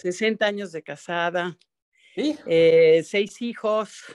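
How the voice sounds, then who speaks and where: A woman talks very slowly, her pitch varying in an ordinary way, with a quiet background behind her. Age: 80s. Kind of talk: personal testimony. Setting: video call. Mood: emotional, reflective. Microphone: video call.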